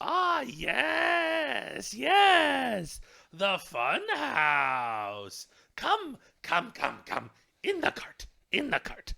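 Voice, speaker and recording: Putting on a character voice, a man talks. His pace is very slow. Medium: actual play. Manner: repetitive, coaxing.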